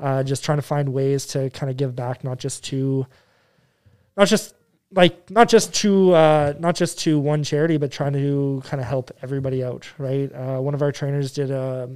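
In a Canadian accent, a man talks at a moderate pace with a fairly high pitch, ordinary pitch variation and an ordinary speaking voice, on a very clean recording with a silent background. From Yukon, Canada. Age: 30s. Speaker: gym owner. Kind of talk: casual chat.

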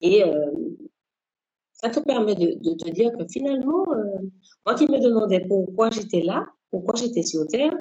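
A woman with a fairly high pitch speaks at a fairly slow pace, her pitch swinging very widely, with long, frequent pauses. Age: 50s. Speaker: civil servant and life coach. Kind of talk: interview.

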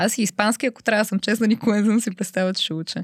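A woman speaks in a normal speaking voice at a medium pitch with fairly even intonation. The sound is dry and close, with no echo. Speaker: arts program officer. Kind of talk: casual interview.

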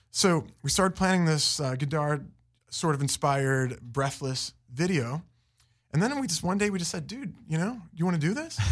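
In a very clean recording with a silent background, a man with an American accent and an unremarkable speaking voice talks at a moderate pace, his fairly high pitch carrying lively intonation. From West Virginia (Fairmont). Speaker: musician in a band. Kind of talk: interview. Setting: studio.

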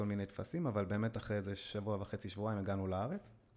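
His voice sits fairly low in pitch. This man talks very quickly. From Israel (Netanya), adopted from Brazil as baby. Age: 30s. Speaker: fintech employee. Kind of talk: casual interview chat.

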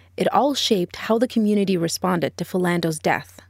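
In an ordinary speaking voice, a woman talks at a fairly quick pace with lively intonation, on a very clean recording with a silent background and a dry, close sound with no echo. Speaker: podcast reporter. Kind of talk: scripted narration. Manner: serious, measured.

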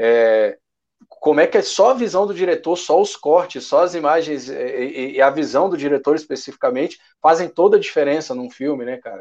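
An unremarkable speaking voice moves at a moderate pace with lively intonation. The background is quiet. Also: man, fairly high pitch for a man. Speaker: podcast co-host. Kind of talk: casual chat. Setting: recording from home.

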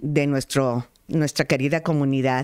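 This woman's voice sits at a very deep, low pitch. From Mexico, Apizaco, Tlaxcala. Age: 60s. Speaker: school director and educator. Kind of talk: interview conversation. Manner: halting, with frequent fillers.

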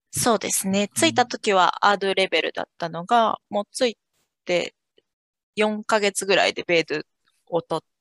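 With a plain, everyday voice, a woman speaks at a medium pitch and a moderate pace, with ordinary pitch variation and big swings in loudness, in a dry, close sound with no echo. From Japan, Yokohama. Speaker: French teacher. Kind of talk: interview.

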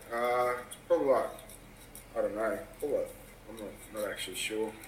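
With an Australian accent, a man talks at a very fast pace, with big swings in loudness and long, frequent pauses. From Western Australia (Perth). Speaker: random video chat stranger. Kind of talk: casual chat. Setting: outdoors.

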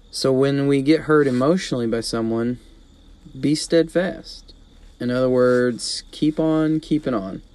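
Ordinary pitch variation colors a man's speech, which moves at a fairly slow pace. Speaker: devotional podcast host. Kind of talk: short devotional message.

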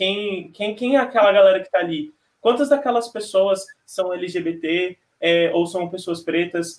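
With ordinary pitch variation, this man's voice sits at a high pitch. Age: 20s. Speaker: poet. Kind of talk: panel discussion.

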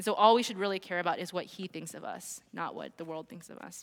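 Speaking with an American accent, a woman uses a normal speaking voice at a medium pitch. Her pace is fairly quick and her intonation fairly even. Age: 40s. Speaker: church lay leader. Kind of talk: sermon.

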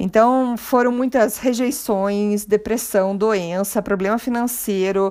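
A woman with a Curitiba accent at a fairly slow pace, over noticeable background noise. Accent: Curitiba Brazilian Portuguese. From Brazil, Curitiba. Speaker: podcast host. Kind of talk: casual monologue. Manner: halting.

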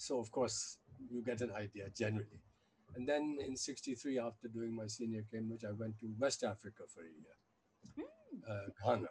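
A man talks at a moderate pace and medium pitch. His voice is somewhat breathy, with fairly even intonation. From India. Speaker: scholar and anti-nuclear weapons activist. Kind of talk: podcast interview.

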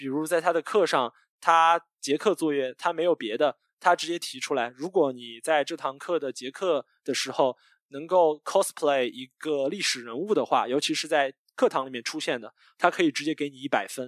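A man's fairly high voice at a moderate pace, with big swings in loudness and a dry, close sound without echo. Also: ordinary pitch variation. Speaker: podcast host, guest here. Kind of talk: casual interview. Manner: energetic, youthful.

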